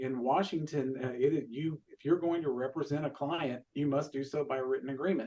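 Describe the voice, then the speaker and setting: A man speaks with a fairly high pitch. His intonation stays fairly even. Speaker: real estate association leader. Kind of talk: panel discussion. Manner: fast.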